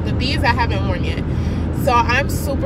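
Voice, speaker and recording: A woman speaks at a moderate pace. Loud background noise is present, and the sound is dry with no echo. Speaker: student vlogger. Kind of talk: casual vlog chat. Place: car. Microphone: phone near.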